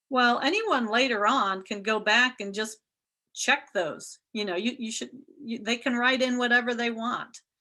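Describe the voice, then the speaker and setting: A woman with an American accent speaks at a fairly high pitch. Her tone is bright and sharp, and the background is quiet. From US Midwest, Ohio. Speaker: real estate instructor. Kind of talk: lecture.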